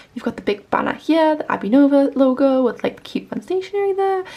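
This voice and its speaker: The speech keeps a moderate pace, its intonation lively, with noticeable noise in the background. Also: woman. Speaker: small business owner and artist vlogger. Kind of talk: casual vlog. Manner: casual, filler-heavy.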